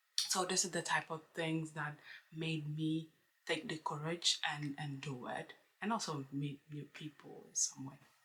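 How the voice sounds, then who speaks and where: A woman with a non-native accent speaks at a very deep, low pitch. Her pace is fairly slow and her intonation fairly even. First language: not English. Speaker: book vlogger. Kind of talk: casual vlog monologue. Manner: halting, with many fillers.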